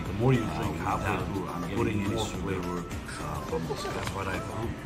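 Loud music fills the background. Over it, a man keeps up a moderate pace. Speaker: coffee shop vlogger. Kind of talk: casual vlog chat. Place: cafe. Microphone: phone near.

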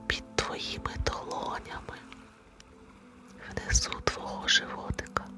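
With music in the background, a woman whispers in a calm tone at a very slow pace. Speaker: meditation guide. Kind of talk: guided meditation. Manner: whispered; slow, calm.

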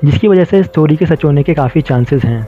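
A man's voice with music in the background. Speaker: channel narrator. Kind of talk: commentary.

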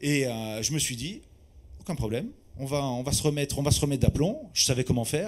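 The man talks at a fairly quick pace with ordinary pitch variation. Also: fairly high pitch for a man. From Corsica. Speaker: sommelier; conference speaker. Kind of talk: testimony. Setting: stage with audience. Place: hall. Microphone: handheld.

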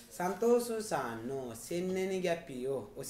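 A man's voice makes very wide pitch swings, with audible room echo and light background noise. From Nepal. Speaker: Japanese language teacher. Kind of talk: mock visa interview demo. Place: office. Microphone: phone near.

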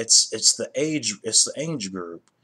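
The man's delivery moves along at a fairly slow pace. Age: 30s. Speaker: YouTuber; vlogger. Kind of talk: casual commentary vlog; casual opinion vlog commentary. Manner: halting, many fillers and repetitions. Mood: annoyed, critical. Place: home room. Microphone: webcam.

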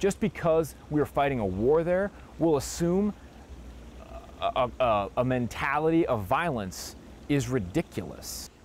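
Against light background noise, with a dry sound and no echo, a man talks at a moderate pace and a fairly high pitch, his pitch swinging very widely. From Wisconsin, US Midwest. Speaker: war veteran. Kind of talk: interview. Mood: earnest, firm conviction. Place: garden. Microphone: lapel.

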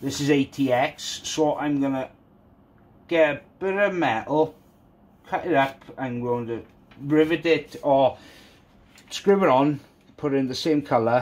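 A man speaks with a Welsh accent at a fairly slow pace. His pitch is fairly high. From Wales. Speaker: YouTuber, PC modding. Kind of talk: tutorial; casual tutorial. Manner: casual, halting. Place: home room.

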